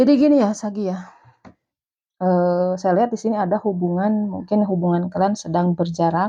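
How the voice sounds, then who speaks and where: Her tone is dark and mellow, at a medium pitch for a woman. She speaks at a moderate pace with ordinary pitch variation. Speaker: tarot reader. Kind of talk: tarot reading. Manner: halting.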